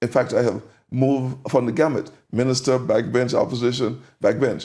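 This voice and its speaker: A man with a dark, mellow tone speaks at medium pitch and a moderate pace, his loudness very even and his intonation monotone and flat. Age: 60s. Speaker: politician. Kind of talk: interview.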